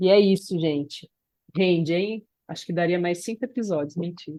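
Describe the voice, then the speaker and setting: A woman's fairly low, dark and mellow voice at a moderate pace, with ordinary pitch variation, big swings in loudness, and long, frequent pauses. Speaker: podcast co-host. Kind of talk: casual chat.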